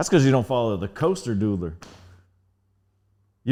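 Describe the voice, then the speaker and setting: On a very clean recording with a silent background, a man with an American accent talks at a very fast pace with lively intonation. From Northern Virginia, Alexandria. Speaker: hip hop DJ, podcast guest. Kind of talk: casual interview chat.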